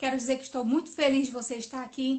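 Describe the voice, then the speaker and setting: Her voice is high, and this woman speaks in a monotone, flat way. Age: 40s. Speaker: nurse entrepreneur, live host. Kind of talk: live stream interview.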